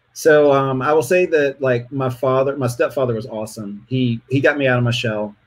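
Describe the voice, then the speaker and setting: Against a quiet background, a man with a plain, everyday voice speaks at a medium pitch and a moderate pace, with fairly even intonation and hardly any pauses. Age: 40s. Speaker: interview guest sharing dating experiences. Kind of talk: casual interview.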